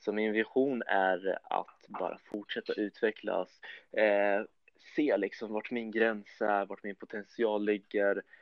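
The delivery is very slow, with monotone, flat intonation. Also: man, fairly low pitch for a man. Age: 20s. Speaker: competitive bodybuilder. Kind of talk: podcast interview.

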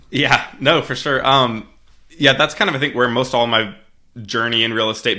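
With an American accent and an ordinary speaking voice, a man talks fairly quickly at a medium pitch with fairly even intonation. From US Midwest (Missouri). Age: 20s. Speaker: real estate investor and software founder. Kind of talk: interview. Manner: frequent fillers and restarts.

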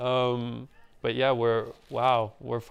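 A man talks with a Montreal accent. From Montreal, Canada (NDG neighbourhood). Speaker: DJ and graffiti artist. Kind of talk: casual chat.

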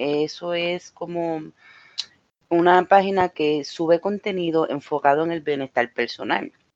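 In a Puerto Rican accent, a woman speaks at a fairly low pitch with ordinary pitch variation, in a dry, close sound with no echo. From Puerto Rico, Mayagüez. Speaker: podcast co-host. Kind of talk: casual chat.

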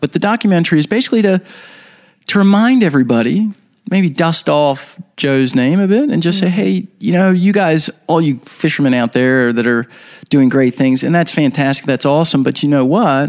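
Speaking at a moderate pace in a plain, everyday voice, a man with a fairly high pitch uses lively intonation and keeps his loudness very even. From Baltimore, Maryland, US. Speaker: documentary filmmaker. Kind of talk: interview, storytelling.

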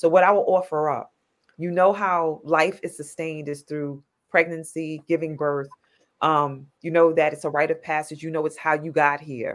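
Flat, monotone intonation comes at a moderate pace in a New York accent. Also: woman, very deep, low pitch for a woman. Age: 50s. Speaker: nonprofit founder. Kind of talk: casual chat.

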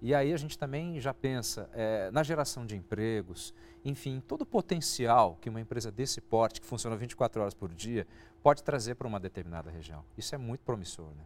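With big swings in loudness, a man with an ordinary speaking voice talks at a fairly quick pace in a medium pitch. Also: lively intonation. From interior of São Paulo state, Brazil. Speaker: agribusiness TV show host. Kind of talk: interview.

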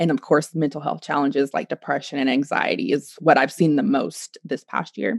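A woman with an American accent talks at a fairly quick pace with hardly any pauses, her very deep, low voice showing vocal fry and ordinary pitch variation in a dry, close sound with no echo. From Oklahoma, US. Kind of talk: casual interview chat.

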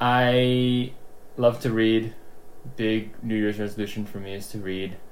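A man with a Mid-Atlantic US accent speaks at a fairly slow pace. His medium-pitched delivery is monotone and flat. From Maryland, suburb of Washington, D.C. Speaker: engineer. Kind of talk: casual chat.

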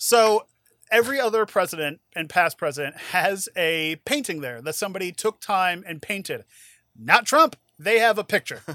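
A man speaks in a raised, projected voice at a high pitch, his tone bright, sharp and playful with lively intonation at a moderate pace. The recording is very clean and dry, close with no echo, over a silent background. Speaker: podcast host and judge. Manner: joking, playful.

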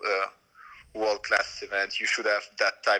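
Speaking at a moderate pace, a man talks with a French accent. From France. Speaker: BMX racer. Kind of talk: casual interview. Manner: halting, repeats words.

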